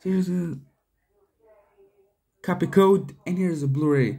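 Slow and dark in a mellow tone, this voice shows ordinary pitch variation against audible room echo. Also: man.

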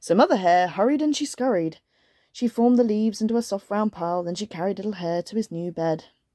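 An unforced reading voice comes through with little sound behind it.

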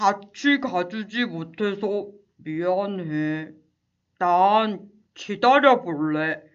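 A female-sounding voice puts on a character voice at a medium pitch for a woman. The pace is very slow. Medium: audio drama. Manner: caring.

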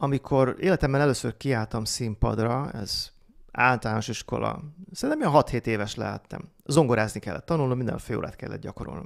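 Speaking at a fairly quick pace, a man with a medium pitch and ordinary pitch variation shows vocal fry and big swings in loudness against a quiet background. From Hungary. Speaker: marketing consultant; podcast guest. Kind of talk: casual chat. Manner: trained, lowered pitch. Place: studio. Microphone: studio mic.

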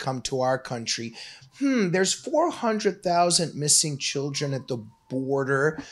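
A man speaks with lively intonation at a moderate pace. Behind him the background is quiet. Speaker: political commentator on a web show. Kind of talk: commentary. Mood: critical, sarcastic. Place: studio. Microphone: studio mic.

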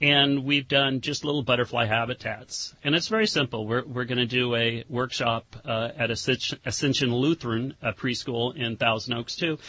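A normal speaking voice from a man at a medium pitch, with fairly even intonation, a moderate pace and hardly any pauses. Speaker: butterfly expert. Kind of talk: radio interview. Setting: studio.

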